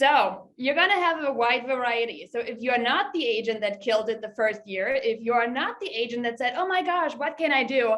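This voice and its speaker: With a slight German accent, the speaker uses lively intonation at a moderate pace. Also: woman. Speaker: real estate agent. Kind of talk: webinar presentation.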